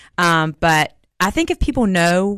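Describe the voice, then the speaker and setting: In a Southern US accent, a woman's voice swings very widely in pitch, with a dry, close sound, no echo and a quiet background. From Jackson, Mississippi. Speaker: vice mayor, nurse practitioner. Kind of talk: radio interview.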